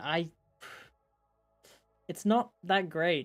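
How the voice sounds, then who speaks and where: Over music in the background, a woman with a fairly low pitch speaks very slowly, with ordinary pitch variation. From Britain. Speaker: YouTuber reviewing toy sets. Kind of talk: livestream commentary. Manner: hesitant, many fillers and restarts.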